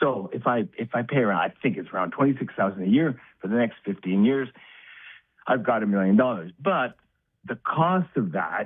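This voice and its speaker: With very wide pitch swings, a man talks at a medium pitch and a moderate pace. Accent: Canadian. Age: 60s. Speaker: caller. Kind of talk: phone-in call. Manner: halting.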